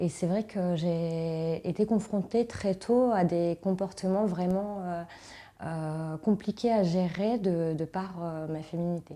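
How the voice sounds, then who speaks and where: A woman's fairly low, dark and mellow voice, very slow, with fairly even intonation. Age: 40s. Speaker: self-employed entrepreneur. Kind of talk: interview testimony. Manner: hesitant.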